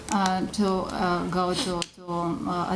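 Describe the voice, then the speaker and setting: Noticeable background noise and audible room echo surround a woman speaking with a Romanian accent. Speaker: microfinance executive. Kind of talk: panel presentation. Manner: halting, many fillers.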